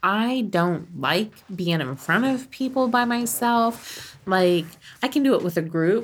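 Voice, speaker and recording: Speaking with a General American accent, a woman has an ordinary speaking voice, fairly high in pitch, with lively intonation, on a very clean recording with a silent background. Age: 40s. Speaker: podcast co-host. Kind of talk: casual chat.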